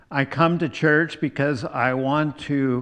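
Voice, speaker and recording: Against a quiet background, a man speaks at a very slow pace in an American accent. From US Midwest, eastern Iowa. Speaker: pastor. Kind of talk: sermon.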